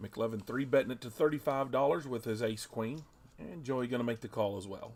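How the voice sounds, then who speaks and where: Big swings in loudness mark this man's speech, delivered at a fairly quick pace with a medium pitch and ordinary pitch variation. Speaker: poker commentator. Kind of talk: live commentary. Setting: poker room live stream. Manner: stumbling over words.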